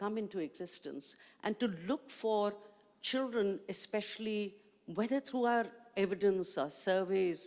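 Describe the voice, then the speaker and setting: Speaking with a Pakistani accent at a medium pitch, a woman keeps a fairly slow pace. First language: Urdu. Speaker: education activist, panelist. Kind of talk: panel discussion.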